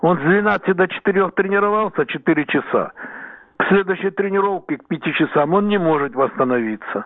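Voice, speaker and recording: A man's high-pitched voice at a moderate pace, with big swings in loudness. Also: ordinary pitch variation. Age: 70s. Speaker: weightlifting coach. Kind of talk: radio interview. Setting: phone call. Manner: halting.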